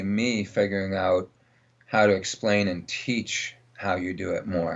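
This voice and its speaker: A man's fairly low-pitched, a plain, everyday voice, at a fairly slow pace with fairly even intonation. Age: 60s. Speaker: dog trainer. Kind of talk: interview.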